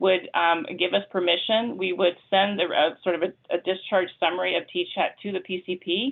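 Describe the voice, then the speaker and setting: A woman's medium-pitched, fairly quick delivery in a normal speaking voice. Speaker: meeting presenter, consortium staff. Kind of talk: committee meeting update.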